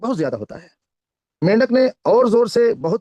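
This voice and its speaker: In a Kannada accent, a man speaks with lively intonation, the sound dry and close with no echo. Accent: Kannada-accented Hindi. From India, Karnataka. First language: Kannada (speaking Hindi). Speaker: network marketing trainer. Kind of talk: motivational talk with storytelling. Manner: careful, deliberate speech.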